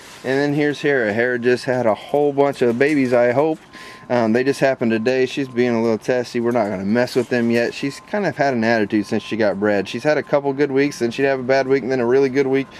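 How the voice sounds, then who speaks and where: Delivered at a very fast pace with hardly any pauses, the speech keeps a fairly even intonation over light background noise. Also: man, dry sound with no echo. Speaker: rabbit breeder. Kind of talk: casual video tour. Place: farm machine. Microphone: phone near.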